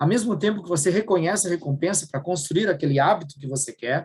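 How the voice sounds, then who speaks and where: A man's fairly high voice, very fast, with lively intonation. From southern Brazil, Rio Grande do Sul. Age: 50s. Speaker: workshop speaker. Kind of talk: workshop talk.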